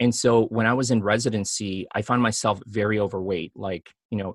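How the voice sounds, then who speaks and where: A man with an American accent uses an ordinary speaking voice at a medium pitch with fairly even intonation, recorded dry and close with no echo against a quiet background. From US Midwest (Chicago), Filipino family. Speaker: physician. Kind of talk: interview.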